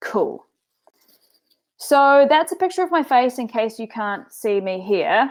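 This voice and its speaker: With a New Zealand accent, a woman speaks fairly slowly with long, frequent pauses. Her high voice moves through very wide pitch swings. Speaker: business coach. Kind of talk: webinar presentation. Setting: online webinar. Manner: casual, filler-heavy.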